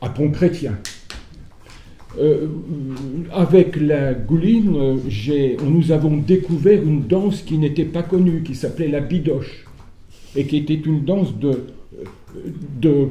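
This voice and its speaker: Somewhat breathy and dark, mellow in tone, a man speaks at a fairly high pitch with ordinary pitch variation. His pace is very slow, with long, frequent pauses and audible room echo. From France, Sarthe. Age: 70s. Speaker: folk dancer and retired teacher. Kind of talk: conference talk. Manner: hesitant, many fillers.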